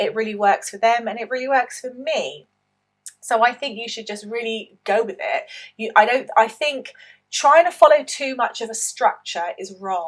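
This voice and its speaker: Here is a woman with a British accent and a high pitch, speaking at a moderate pace. Her intonation is lively, and her loudness swings widely. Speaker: online English teacher and business coach. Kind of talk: opinion commentary with screen-share tutorial. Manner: spontaneous, conversational.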